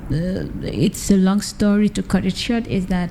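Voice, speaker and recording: The speaker is a woman with a medium pitch. There is noticeable background noise. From Gambia, Sukuta. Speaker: poet and author. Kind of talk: interview.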